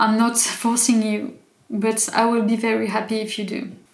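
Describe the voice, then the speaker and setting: A woman with a fairly high voice speaks amid audible room echo. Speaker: YouTuber. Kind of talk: casual vlog commentary. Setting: home, evening, in pajamas. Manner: halting, many fillers and restarts.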